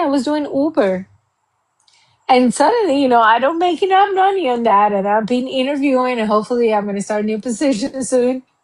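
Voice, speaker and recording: Speaking fairly quickly in a Cuban accent, a woman uses a high pitch and lively intonation. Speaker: accountant. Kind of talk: interview.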